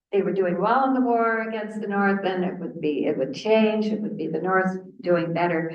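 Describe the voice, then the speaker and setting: A woman's medium-pitched voice with lively intonation and audible room echo. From Canada, southern Ontario. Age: 80s+. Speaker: researcher and author. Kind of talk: lecture. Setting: seated presentation with audience. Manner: conversational, with false starts.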